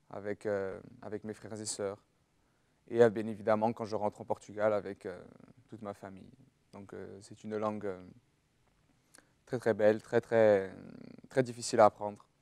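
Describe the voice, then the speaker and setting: A man speaks at a moderate pace in a fairly low pitch with monotone, flat intonation and long, frequent pauses. His loudness swings widely, and the sound is dry and close with no echo. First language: Portuguese (speaking French). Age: 20s. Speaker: university student. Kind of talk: testimony. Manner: halting.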